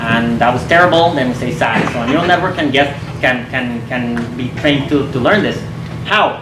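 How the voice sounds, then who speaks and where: Audible room echo and noticeable background noise accompany a man talking fairly quickly. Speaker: machine learning teacher. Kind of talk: keynote talk. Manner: animated.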